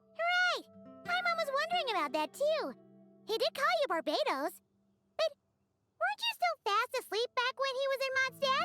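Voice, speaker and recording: A put-on character voice at an extremely high pitch moves at a moderate pace with long, frequent pauses. Loud music plays in the background. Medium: video game. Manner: chirpy, cheeky.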